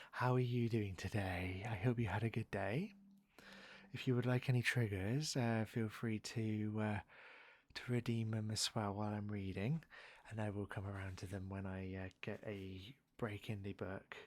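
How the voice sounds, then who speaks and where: A soft-spoken man with a fairly low pitch talks at a moderate pace with fairly even intonation, in a very clean recording with a silent background. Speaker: ASMR streamer who went to university. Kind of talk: live ASMR stream, soft-spoken chatting while reading a book aloud. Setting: studio, close condenser microphone. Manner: soft-spoken, quiet.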